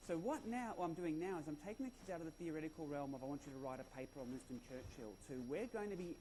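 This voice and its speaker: A man with an Australian accent, fairly high pitch and a dark, mellow tone. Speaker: conference speaker, former schoolteacher. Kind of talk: conference talk. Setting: stage with audience.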